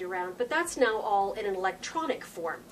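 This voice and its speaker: There is light background noise. A woman is speaking. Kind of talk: political video blog address. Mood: concerned, explanatory.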